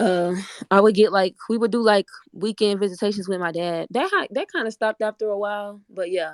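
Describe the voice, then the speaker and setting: With an American accent, a woman uses an ordinary speaking voice at medium pitch and moderate pace, fairly even intonation, and a dry, close sound with no echo. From Orlando, Florida, US. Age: 20s. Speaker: online debate participant. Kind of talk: casual discussion. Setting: online audio room.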